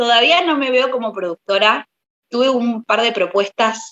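A bright, sharp tone comes through in a dry, close sound with no echo, at a fairly slow pace with ordinary pitch variation. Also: woman. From Buenos Aires, Argentina. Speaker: singer-songwriter and pianist. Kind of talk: interview.

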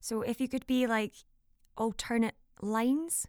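Recorded very cleanly with a silent background and a dry, close sound with no echo, a woman speaks at a moderate pace with a Scottish accent. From Scotland. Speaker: voiceover artist and actor. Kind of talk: casual chat.

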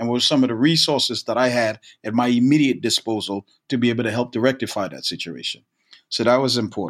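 Talking at a very fast pace, a man with an American accent has a medium-pitched voice with vocal fry and ordinary pitch variation. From Brooklyn, New York. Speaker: college soccer coach. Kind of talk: interview conversation. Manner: halting, with frequent repeated words.

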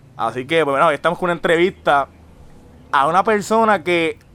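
In a Puerto Rican accent, the speaker uses a bright, sharp tone at a moderate pace with ordinary pitch variation. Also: man. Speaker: podcast host. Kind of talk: casual chat. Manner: animated.

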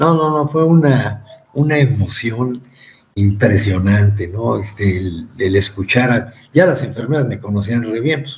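In a Mexican accent, a man talks at a fairly slow pace, sounding somewhat breathy. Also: medium pitch for a man, lively intonation. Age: 30s. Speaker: cancer survivor and author. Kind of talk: interview.

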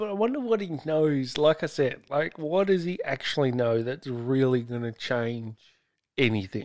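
The speaker is a man with a fairly high pitch. He talks at a moderate pace with lively intonation. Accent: Australian. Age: 30s. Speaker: podcast host. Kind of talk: casual chat.

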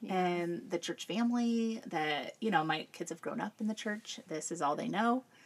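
A woman with an American accent speaks at a moderate pace and medium pitch, with lively intonation. She leaves hardly any pauses. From central Illinois, US Midwest. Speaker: churchgoing mother of three. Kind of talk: casual interview conversation.

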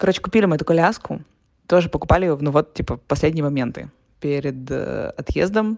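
This woman talks at a very fast pace in a very deep, low pitch. Her voice carries vocal fry and ordinary pitch variation. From Russia. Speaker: podcaster. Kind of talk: audio diary. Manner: casual with fillers.

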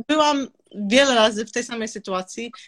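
The voice has a bright, sharp tone and moves at a very slow pace, recorded dry and close with no echo. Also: woman. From Serbia, raised in Olsztyn, Poland from age 10-12. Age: 30s. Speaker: entrepreneur. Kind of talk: interview. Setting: live stream.

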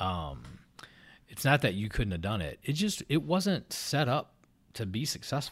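Over a silent background in a very clean recording, a man talks at a fairly slow pace in a medium pitch, his voice swinging very widely in pitch and showing vocal fry. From Louisville, Kentucky. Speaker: podcast co-host and university researcher. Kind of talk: casual chat. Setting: office.

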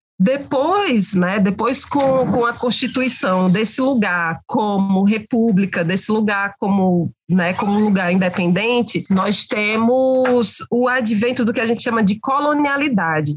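Somewhat breathy and fairly high-pitched, a woman talks at a fairly slow pace with very even loudness, ordinary pitch variation and hardly any pauses. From Brazil, Cariri region of Ceará (Crato). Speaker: communication researcher and lecturer. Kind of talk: podcast interview. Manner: halting, repeats words.

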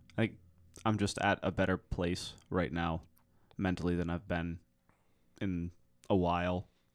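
A man's very deep, low voice at a fairly slow pace, with long, frequent pauses. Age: 20s. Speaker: podcast guest. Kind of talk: casual chat. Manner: low energy.

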